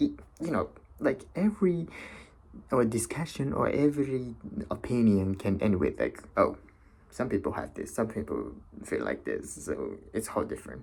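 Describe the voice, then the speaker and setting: Moderately paced male speech broken by long, frequent pauses. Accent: non-native. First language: not English. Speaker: vlogger. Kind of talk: casual monologue. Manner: halting, many fillers.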